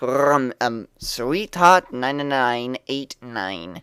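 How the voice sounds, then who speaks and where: Speaking at a very slow pace, a man of medium pitch uses lively intonation. The sound is dry and close with no echo. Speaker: aspiring voice actor. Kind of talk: reading user reviews aloud.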